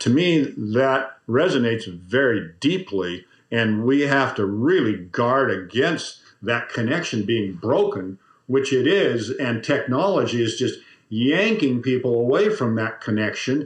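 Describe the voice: Lively intonation comes at a fairly slow pace, with audible room echo around the voice. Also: man, medium pitch for a man.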